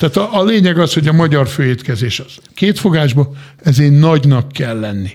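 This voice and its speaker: A man's fairly high-pitched voice at a fairly quick pace, with lively intonation and big swings in loudness, over noticeable background noise. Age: 50s. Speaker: chef. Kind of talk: casual chat. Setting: studio.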